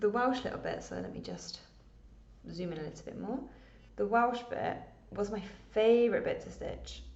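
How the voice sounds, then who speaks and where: Audible room echo fills the recording. A woman talks at a moderate pace. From England. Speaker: cross stitch vlogger. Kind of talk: casual chat.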